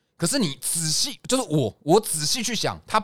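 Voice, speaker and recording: On a very clean recording with a silent background, a man talks at a fairly quick pace with vocal fry and very wide pitch swings. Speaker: podcast host. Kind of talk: casual chat; heated debate.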